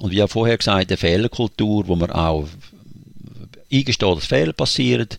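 The voice has vocal fry and very wide pitch swings. The sound is dry and close with no echo, in a very clean recording with a silent background. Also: man. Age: 60s. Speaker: church coach and deacon. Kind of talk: interview.

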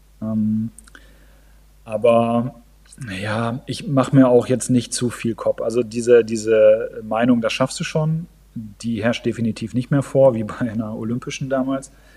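Someone speaks at a fairly slow pace with fairly even intonation as noticeable background noise continues. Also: man, medium pitch for a man. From northern Germany. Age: 40s. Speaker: amateur triathlete. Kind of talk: casual chat. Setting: video call. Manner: halting.

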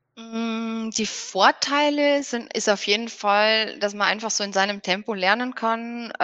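Recorded with a dry, close sound, no echo and a quiet background, a woman speaks in a bright, sharp tone at a fairly high pitch. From Bavaria, near Regensburg. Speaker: horse owner and riding instructor. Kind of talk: interview. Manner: hesitant, many fillers.

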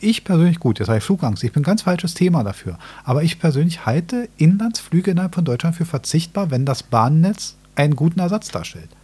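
A man's high-pitched voice with a dark, mellow tone, lively intonation and a fairly quick pace. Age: 40s. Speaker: podcast host. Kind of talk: casual chat.

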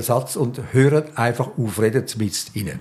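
A man speaks with a Swiss accent and lively intonation. His voice is somewhat breathy. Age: 80s+. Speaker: journalist. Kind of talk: interview.

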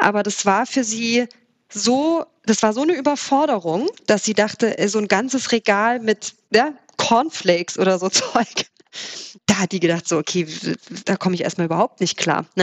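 At a moderate pace, a woman with a fairly high pitch speaks in an unremarkable speaking voice. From Saxony, Erzgebirge near Zwickau, then Swabian Alb. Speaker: startup founder. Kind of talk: interview.

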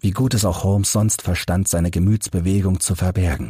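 At a moderate pace, a man with a low pitch and fairly even intonation speaks in a dark, mellow tone that has a husky, rough edge. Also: very clean recording, silent background.

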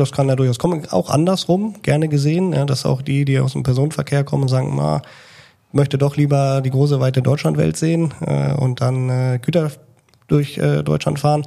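This man has a fairly high pitch and an ordinary speaking voice. He keeps a moderate pace and very even loudness. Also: fairly even intonation. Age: 30s. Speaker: train driver and instructor. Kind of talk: casual interview.

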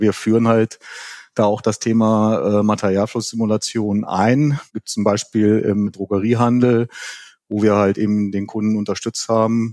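A man speaks in a fairly low pitch with a dark, mellow tone and monotone, flat intonation. The sound is dry and close, with no echo. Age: 50s. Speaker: simulation expert. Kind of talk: interview.

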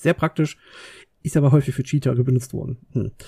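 A man's medium-pitched voice, dark and mellow in tone and somewhat breathy, in a dry, close sound with no echo. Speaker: podcast co-host. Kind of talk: casual chat. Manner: calm.

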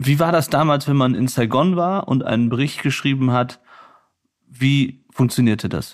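A man speaks in an unremarkable speaking voice at a moderate pace and medium pitch, with ordinary pitch variation and very even loudness. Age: 30s. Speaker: podcast host and war reporter. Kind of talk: interview. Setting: at the guest's home.

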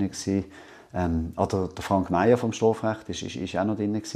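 Over a quiet background, a man with a Basel accent speaks fairly slowly in a fairly low, dark, mellow tone with ordinary pitch variation. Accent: Basel Swiss German. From Switzerland, Basel. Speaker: law professor. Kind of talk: interview. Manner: halting, many fillers.

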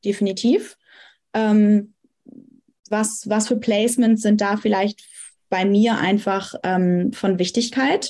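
A woman's somewhat breathy voice has a dark, mellow tone at a fairly high pitch, with fairly even intonation. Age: 20s. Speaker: astrologer and psychology student. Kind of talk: casual interview. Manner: frequent hesitation fillers.

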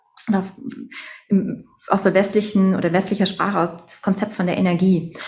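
A woman's somewhat breathy voice at medium pitch, in a flat, monotone delivery. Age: 30s. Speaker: doctor and sound therapist. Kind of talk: interview.

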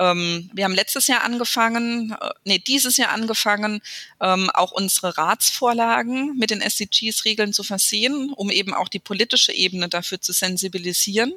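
A woman's fairly high, bright and sharp voice at a moderate pace, with ordinary pitch variation and hardly any pauses. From Speyer, Rhineland-Palatinate, Germany. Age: 30s. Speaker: mayor. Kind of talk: interview. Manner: hesitant with frequent fillers.

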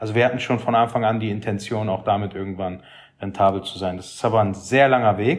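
A man talks in a normal speaking voice with a fairly low pitch. His intonation is fairly even. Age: 30s. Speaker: travel content creator. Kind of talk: casual chat.

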